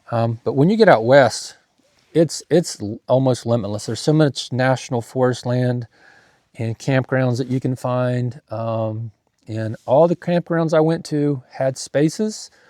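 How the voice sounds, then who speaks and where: At a fairly slow pace, a man talks with a medium pitch and a dark, mellow tone, the sound dry and close with no echo. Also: ordinary pitch variation. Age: 50s. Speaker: van camping vlogger. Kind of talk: casual video review. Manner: halting, many fillers.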